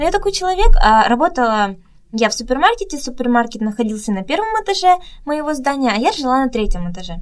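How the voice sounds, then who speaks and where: A woman's high voice with very wide pitch swings at a very fast pace. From Russia. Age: young. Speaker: model and performer living abroad. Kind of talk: interview.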